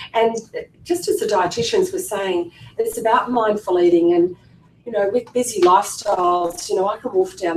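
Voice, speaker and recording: Speaking with an Australian accent over noticeable background noise, a woman keeps a medium pitch, a moderate pace and fairly even intonation. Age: 50s. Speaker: clinic staff member and former patient. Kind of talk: personal testimony at information seminar. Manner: casual, hesitant with fillers.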